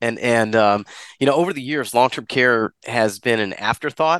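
A man talks in a bright, sharp tone against a quiet background. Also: dry, close sound with no echo. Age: 40s. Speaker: insurance sales leader. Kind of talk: interview.

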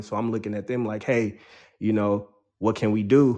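A man with a plain, everyday voice, medium-pitched, in an American accent, at a moderate pace. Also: quiet background. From San Diego, California (some childhood in the Bronx, New York). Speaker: rapper and producer. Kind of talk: casual interview.

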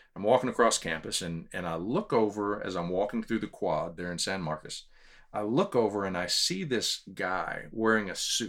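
A man with a Texan accent talks at a moderate pace in a fairly low voice with ordinary pitch variation, recorded very cleanly with a silent background. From Texas (Houston, San Antonio). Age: 50s. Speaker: public speaker and leadership trainer. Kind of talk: casual interview chat.

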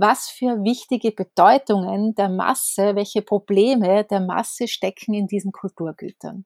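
In an unremarkable speaking voice, a woman speaks at a fairly slow pace with hardly any pauses and fairly even intonation, the sound dry and close with no echo. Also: medium pitch for a woman, very clean recording, silent background. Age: 40s. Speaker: newspaper editor and author. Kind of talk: casual interview conversation.

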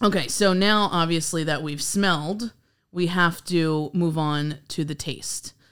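In a normal speaking voice, a woman with a fairly low pitch talks at a fairly slow pace with ordinary pitch variation. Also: very clean recording, silent background. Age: 30s. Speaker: podcast host. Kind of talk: casual chat. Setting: studio.

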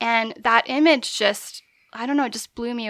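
At a moderate pace, a woman with a bright, sharp tone and fairly high pitch speaks with fairly even intonation in a very clean recording with a silent background. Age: 40s. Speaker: midwife and astrologer. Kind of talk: casual interview chat. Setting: studio.

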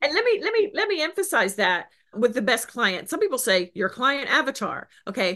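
A woman speaks at a moderate pace in a raised, projected voice, her high pitch swinging very widely with an animated tone. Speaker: business coach. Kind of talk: interview.

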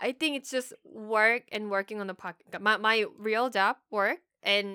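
Speaking in a Korean accent, a woman with a fairly high pitch and a bright, sharp tone goes at a fairly slow pace with hardly any pauses and big swings in loudness, on a very clean recording with a silent background and a dry, close sound with no echo. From South Korea. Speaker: podcast co-host. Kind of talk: casual chat.

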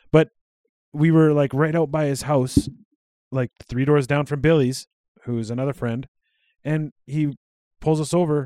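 At a moderate pace, a man with a Western Canadian accent speaks in a fairly high pitch with a dark, mellow tone and fairly even intonation, in a very clean recording with a silent background and a dry, close sound with no echo. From Alberta, Canada (Cold Lake, Sylvan Lake). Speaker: podcast co-host. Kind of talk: casual chat. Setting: home recording at co-host's house.

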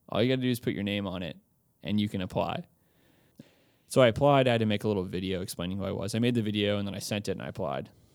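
In a very clean recording with a silent background, a man with an American accent talks at a very fast pace. His pitch is fairly low, with ordinary pitch variation. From Texas, Austin. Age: 20s. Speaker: campus missionary. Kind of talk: casual interview.

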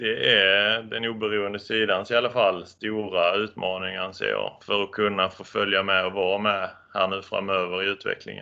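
Using a plain, everyday voice, a man speaks at a moderate pace with fairly low pitch and fairly even intonation. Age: 30s. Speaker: certification auditor. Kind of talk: interview.

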